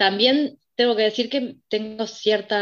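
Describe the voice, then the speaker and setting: A woman is speaking. Her pace is very slow. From Montevideo, Uruguay. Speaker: university student. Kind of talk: casual chat.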